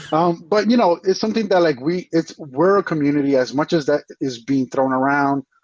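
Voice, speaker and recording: A normal speaking voice, a man with an American accent talks at fairly high pitch with lively intonation, very even loudness and hardly any pauses. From US, Dominican American. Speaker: abstract digital artist. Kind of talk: casual chat.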